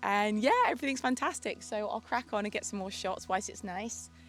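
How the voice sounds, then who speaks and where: A woman speaks with a British accent. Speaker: vlogger. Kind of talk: vlog. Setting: outdoors.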